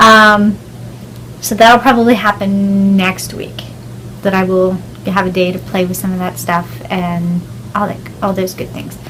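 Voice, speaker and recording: Speaking fairly slowly in an American accent, a woman uses fairly even intonation and long, frequent pauses over noticeable background noise. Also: medium pitch for a woman. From southwestern Pennsylvania. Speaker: podcaster and indie yarn dyer. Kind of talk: casual podcast monologue.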